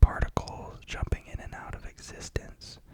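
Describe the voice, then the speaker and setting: The speaker whispers. Background noise is noticeable throughout. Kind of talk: unscripted whisper ramble, ASMR. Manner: whispered.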